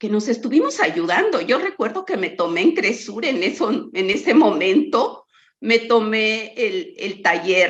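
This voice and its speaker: At a fairly slow pace, a woman with a fairly high pitch speaks with very wide pitch swings. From Mexico, Chihuahua. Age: 60s. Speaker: researcher. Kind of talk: lecture.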